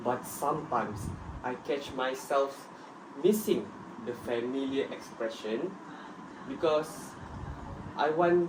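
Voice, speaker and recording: A man with a fairly high voice talks at a very slow pace, with long, frequent pauses and ordinary pitch variation. Audible room echo and noticeable background noise fill the recording. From Malaysia, Sabah (Tuaran). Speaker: student. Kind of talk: scripted group discussion.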